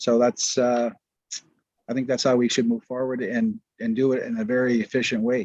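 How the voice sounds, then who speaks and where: Moderate pace, ordinary pitch variation and a Canadian accent, in a dry, close sound with no echo. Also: man. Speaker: county councillor. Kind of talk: council meeting debate. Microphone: too quiet, hard to hear.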